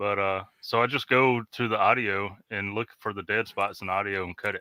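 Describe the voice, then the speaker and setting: On a very clean recording with a silent background and a dry, close sound with no echo, a man with a Mississippi accent and a fairly low pitch speaks at a moderate pace in a bright, sharp tone with fairly even intonation. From US South, Mississippi. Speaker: ham radio show co-host. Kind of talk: casual chat.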